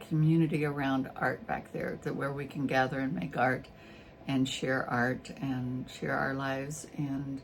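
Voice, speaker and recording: A woman with a very deep, low pitch speaks at a fairly slow pace in a relaxed tone, with audible room echo around her. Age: 70s. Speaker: YouTuber and artist. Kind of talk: casual vlog monologue. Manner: relaxed, hesitant with fillers.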